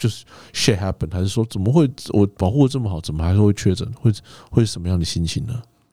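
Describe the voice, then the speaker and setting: Very fast and somewhat breathy, a man speaks in a dark, mellow tone on a very clean recording with a silent background. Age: 40s. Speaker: podcast co-host. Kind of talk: casual chat.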